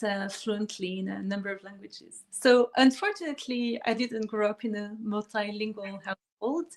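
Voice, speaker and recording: With a French accent, a woman speaks at a fairly high pitch with ordinary pitch variation. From France. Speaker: pianist and harpist. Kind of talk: interview. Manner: hesitant, many fillers.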